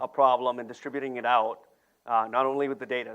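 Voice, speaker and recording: A man at medium pitch talking at a very fast pace. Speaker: product manager presenting at tech conference. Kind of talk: conference presentation.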